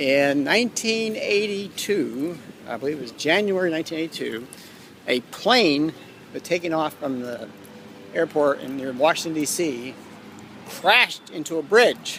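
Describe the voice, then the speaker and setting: A man with a fairly high voice speaks in a lively, sing-song way, taking long and frequent pauses and swinging widely in loudness over noticeable background noise. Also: moderate pace. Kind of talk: rambling monologue. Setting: church. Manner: quiet; halting.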